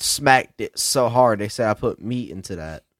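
A man with a Southern US accent at a moderate pace, medium pitch and ordinary pitch variation, in a dry, close sound with no echo. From South Carolina. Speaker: podcast guest. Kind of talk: casual chat.

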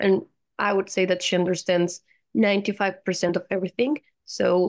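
Fairly quick, fairly even speech in a Colombian accent. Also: woman. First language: Spanish. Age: 20s. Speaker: university student and language teacher. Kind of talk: casual interview. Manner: laughs often, conversational.

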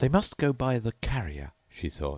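The clip is delivered in a natural reading voice.

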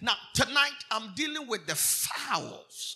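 With music playing in the background, a man speaks in an animated tone. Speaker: preacher. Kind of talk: preacher in full flow, sermon at a live convention. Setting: church service with live congregation. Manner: loud, animated call-and-response, urging the crowd to shout louder.

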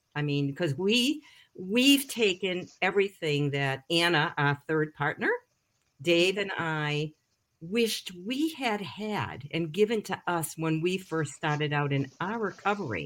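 A woman with a plain, everyday voice talks at a fairly low pitch and a fairly slow pace. Her intonation is lively. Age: 60s. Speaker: recovery coach. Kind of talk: casual chat. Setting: video call.

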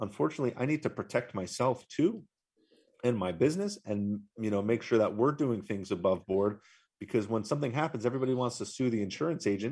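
A man with a New Jersey accent, medium pitch, very fast pace and lively intonation, in a very clean recording with a silent background. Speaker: insurance agency owner. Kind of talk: live radio interview.

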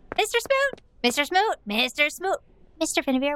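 A put-on character voice from a woman, squeaky and extremely high-pitched, with very wide pitch swings at a moderate pace. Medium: actual play. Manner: insistent, repetitive.

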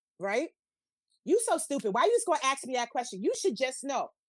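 The speaker has a New York accent and an animated tone with very wide pitch swings. The sound is dry and close with no echo. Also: woman. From New York City, the Bronx. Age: 40s. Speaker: podcast guest, social media co-host. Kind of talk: casual chat.

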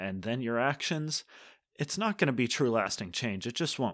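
Speaking at a moderate pace, a man's voice moves through very wide pitch swings in a very clean recording with a silent background. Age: 20s. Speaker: podcast host. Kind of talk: solo talk podcast with scripture teaching.

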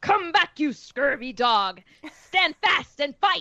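A woman puts on a character voice, high in pitch with very wide swings. She speaks at a fairly slow pace. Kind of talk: archaic, swaggering. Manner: shouting, challenging.

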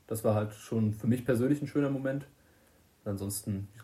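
Very fast, fairly even speech from a man with a fairly low voice. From Germany, Limburg-Weilburg district, Hesse. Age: 20s. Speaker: electrician. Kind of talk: casual chat. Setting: recorded on a tablet microphone.

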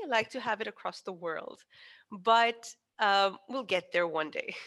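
A woman speaks at a moderate pace against a quiet background. Her voice has a fairly high pitch and a bright, sharp tone. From Pakistan. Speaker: engineer and entrepreneur, anti-harassment project founder. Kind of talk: interview conversation.

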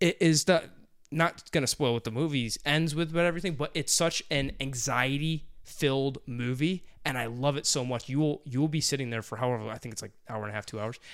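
A man with a fairly high pitch speaks fairly quickly in an animated, playful tone, his pitch varying in an ordinary way, on a very clean recording with a silent background. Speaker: podcast host. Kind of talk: casual banter.

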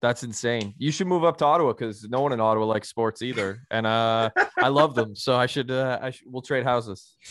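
A man with a Canadian accent has a normal speaking voice at medium pitch with ordinary pitch variation. He talks with hardly any pauses against a quiet background. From Canada. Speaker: author and former journalist. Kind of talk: casual chat. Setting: remote call.

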